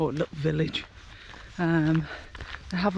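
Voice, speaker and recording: Noticeable background noise runs under a woman's fairly low voice. She talks at a fairly slow pace with monotone, flat intonation. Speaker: travel vlogger. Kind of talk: walking vlog. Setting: outdoors walking. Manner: casual, halting.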